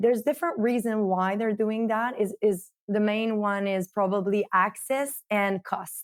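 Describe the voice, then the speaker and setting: A woman with a French-Canadian accent speaks at a fairly slow pace in a fairly high voice, hardly pausing at all. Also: ordinary pitch variation. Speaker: marketing director of a coffee company. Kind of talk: interview.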